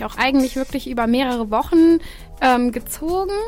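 The speech runs at a fairly quick pace with ordinary pitch variation. Noticeable background noise is present. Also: woman. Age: 20s. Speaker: student event organiser. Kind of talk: radio interview. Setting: radio studio.

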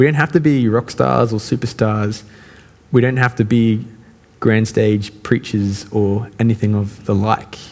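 This man's voice sits at a medium pitch and moves at a fairly slow pace with ordinary pitch variation. His loudness stays very even against noticeable background noise. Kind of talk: sermon. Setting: church. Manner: casual, conversational.

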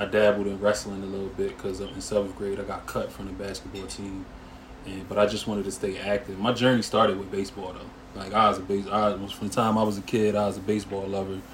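A man's fairly low, monotone voice at a very fast pace, with big swings in loudness, audible room echo and noticeable background noise. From Harrisburg, Pennsylvania, US. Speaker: former pro football player. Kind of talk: casual interview.

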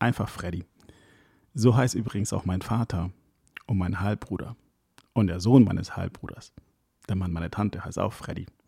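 A dark, mellow tone moves at a moderate pace with fairly even intonation and long, frequent pauses, the sound dry and close with no echo. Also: man. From Ecuador, then Hamburg from school age. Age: 30s. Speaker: wedding DJ and podcast host. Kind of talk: scripted solo podcast intro.

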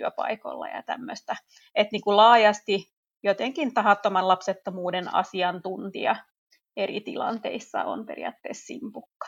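Speaking at a moderate pace against a quiet background, a woman with a medium pitch and ordinary pitch variation sounds dry and close, with no echo. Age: 30s. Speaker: teacher and chair of an infertility support association. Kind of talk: interview. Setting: remote recording.

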